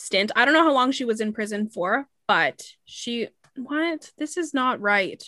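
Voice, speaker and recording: Here a woman speaks in a plain, everyday voice. Her intonation is lively and her pace moderate. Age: 20s. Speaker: podcast host. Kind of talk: storytelling.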